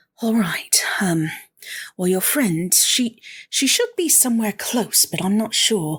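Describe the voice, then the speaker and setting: A put-on character voice speaks at a fairly high pitch. The pace is fairly slow. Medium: actual play. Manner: casual, slightly unsure.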